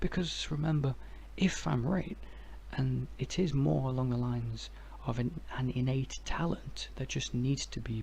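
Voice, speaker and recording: A soft-spoken man talks at a fairly slow pace in a relaxed tone. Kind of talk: ASMR philosophy ramble. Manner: soft-spoken, relaxed.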